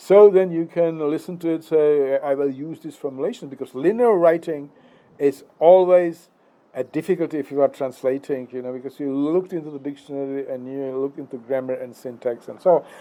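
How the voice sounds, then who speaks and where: With a Czech accent, a man talks at a fairly quick pace, showing ordinary pitch variation and big swings in loudness. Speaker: philosophy lecturer. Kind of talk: philosophical monologue. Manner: hesitant, many fillers.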